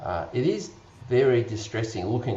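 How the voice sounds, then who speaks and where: A man's fairly even intonation is heard with audible room echo and noticeable background noise. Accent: Australian. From Australia. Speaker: vaping advocate panelist. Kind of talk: panel discussion.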